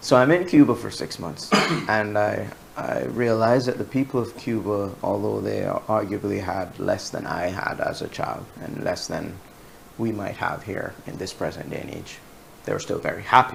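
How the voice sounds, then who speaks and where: Against noticeable background noise, a man with a fairly low pitch talks at a moderate pace, his loudness swinging widely. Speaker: journalist. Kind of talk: interview. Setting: studio. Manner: monotone.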